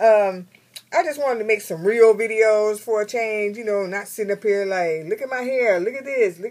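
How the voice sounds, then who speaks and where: A woman is speaking. Her pace is fairly quick. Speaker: beauty vlogger. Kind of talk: casual vlog chat. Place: home room. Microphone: phone near.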